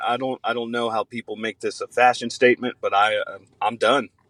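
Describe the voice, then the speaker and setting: A man with an American accent at a fairly quick pace, very wide pitch swings, and a dry, close sound with no echo. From Central Florida. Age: 30s. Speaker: podcast co-host. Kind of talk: casual chat. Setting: video call.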